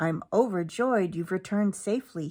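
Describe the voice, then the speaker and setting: A put-on character voice, female-sounding, at a middle pitch and moderate pace. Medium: read story.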